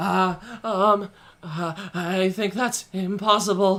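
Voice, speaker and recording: A hoarse, shaky put-on character voice at middle pitch creeps along at a very slow pace. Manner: hesitant, stammering.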